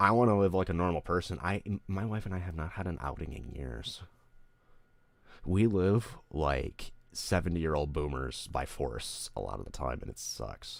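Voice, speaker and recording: With an American accent, a man speaks at a moderate pace in a very deep, low pitch, his lively intonation marked by vocal fry. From Detroit area, Michigan. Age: 20s. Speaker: streamer and musician. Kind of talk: casual livestream chat.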